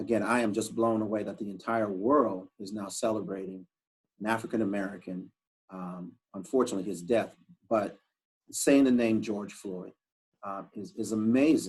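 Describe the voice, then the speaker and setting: In a normal speaking voice, a man with a fairly low pitch talks at a moderate pace with ordinary pitch variation and big swings in loudness. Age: 60s. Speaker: professor and report author. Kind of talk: interview conversation.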